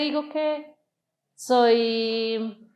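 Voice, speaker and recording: Her intonation fairly even, a woman talks at a fairly high pitch. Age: 30s. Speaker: interview guest sharing church experience. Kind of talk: testimony.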